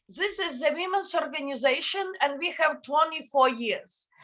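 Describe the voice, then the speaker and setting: A woman's raised, projected voice, high in pitch with a bright, sharp tone, lively intonation and a moderate pace. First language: Ukrainian. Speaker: NGO director. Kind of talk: panel talk. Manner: halting. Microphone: bad connection.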